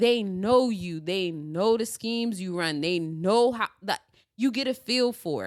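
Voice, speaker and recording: With an American accent, a woman uses an ordinary speaking voice at medium pitch with lively intonation. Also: fairly slow pace. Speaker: sports podcast host. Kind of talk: casual chat.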